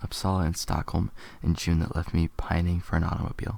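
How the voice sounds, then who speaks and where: Soft-spoken and somewhat breathy, a man speaks at a fairly quick pace with fairly even intonation in a very clean recording with a silent background. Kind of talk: ASMR soft-spoken article reading.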